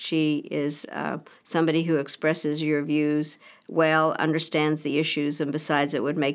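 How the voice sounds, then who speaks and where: A woman with a very deep, low pitch and vocal fry speaks in a monotone, flat way. Her pace is moderate over a quiet background. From Czechoslovakia. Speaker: former Secretary of State. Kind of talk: interview answer. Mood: warm, appreciative. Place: home room.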